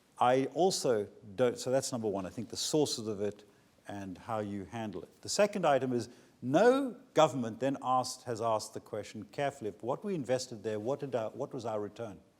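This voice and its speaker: A man talks at a fairly quick pace and a medium pitch. His intonation is lively. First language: not English. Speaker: pharmaceutical company executive, keynote speaker. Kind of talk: conference Q&A.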